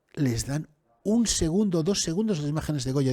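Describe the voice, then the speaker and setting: Fairly quick and lively in intonation, a man speaks at a fairly high pitch with a dark, mellow, somewhat breathy tone in a dry, close sound with no echo. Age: 60s. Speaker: writer and TV presenter. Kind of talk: interview conversation. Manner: animated, with restarts and stammers.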